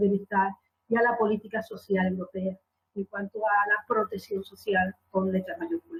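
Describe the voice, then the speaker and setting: The woman's voice sits at a fairly high pitch and sounds somewhat breathy. She keeps a moderate pace. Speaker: conference moderator, law academic. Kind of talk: conference panel moderation. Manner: halting, many fillers.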